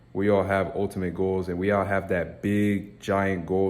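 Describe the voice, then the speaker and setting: Monotone, flat intonation in a man's very deep, low-pitched voice. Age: 20s. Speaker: YouTuber, motivational vlogger. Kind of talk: casual vlog monologue. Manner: casual, slangy.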